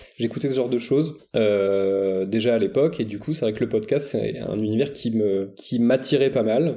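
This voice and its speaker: A man's medium-pitched voice with a dark, mellow tone and ordinary pitch variation. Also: moderate pace. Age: 30s. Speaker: math teacher and podcaster. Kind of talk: interview.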